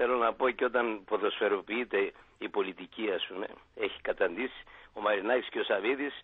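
A man's volume jumps up and down sharply. He keeps to a moderate pace. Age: young. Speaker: caller. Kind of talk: call-in comment. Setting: phone call.

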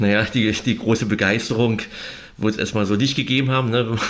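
Against noticeable background noise, a man speaks at a moderate pace in a fairly low voice. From East Berlin. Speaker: author and journalist. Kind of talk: interview. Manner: halting, many fillers.

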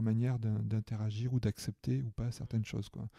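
Moderate speed from a man whose pitch is medium, the recording very clean and the background silent. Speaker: therapist and coach. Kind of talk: casual interview. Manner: voice dropped in intensity at one point; halting, many repetitions.

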